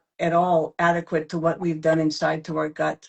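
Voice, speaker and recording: Her pace is moderate. A woman talks with a fairly low pitch. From former Yugoslavia. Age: 70s. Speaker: probiotics expert. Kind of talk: interview. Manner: emphatic.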